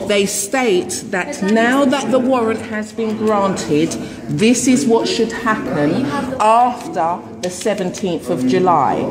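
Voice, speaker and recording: Speech unfolds at a very slow pace. Noticeable background noise is present throughout. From England. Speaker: resident disputing a warrant. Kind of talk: argumentative explanation. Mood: aggrieved, insistent. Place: home room. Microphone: phone near.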